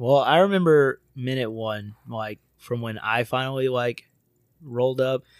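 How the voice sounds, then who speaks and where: A man with an American accent, medium pitch and ordinary pitch variation, at a fairly slow pace, with a dry, close sound with no echo. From Florida. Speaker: podcast host. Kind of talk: casual chat with profanity.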